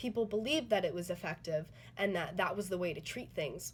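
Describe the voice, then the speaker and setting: A woman's medium-pitched voice with vocal fry and ordinary pitch variation. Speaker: student. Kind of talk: spoken theatre performance analysis.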